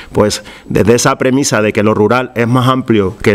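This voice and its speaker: A man talks at a medium pitch and moderate pace with fairly even intonation over noticeable background noise. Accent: Andalusian. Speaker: regional government official. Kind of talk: public presentation. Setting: public event with audience. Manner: hesitant, many fillers.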